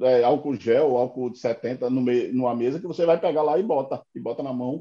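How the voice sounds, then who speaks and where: Fairly quick in pace, a man with a dark, mellow tone speaks with ordinary pitch variation. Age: 50s. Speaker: political commentator. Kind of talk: casual political chat.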